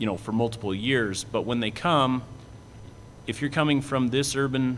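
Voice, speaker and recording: A man with an American accent uses a plain, everyday voice at a medium pitch, moving at a fairly quick pace with fairly even intonation. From southeastern Washington. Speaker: cattle industry association executive. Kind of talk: panel presentation.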